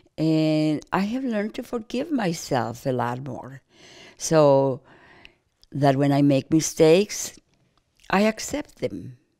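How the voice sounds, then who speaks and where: On a very clean recording with a silent background, a woman speaks at a very slow pace with long, frequent pauses, her very deep, low pitch swinging very widely and her tone dark and mellow. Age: 80s+. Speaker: grandmother sharing life wisdom. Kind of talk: reflective interview monologue. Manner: calm; halting, repeats words.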